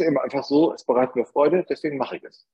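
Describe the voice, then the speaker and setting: The speaker has a northern German accent, recorded with a dry, close sound with no echo. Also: man. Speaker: advertising agency founder. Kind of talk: interview.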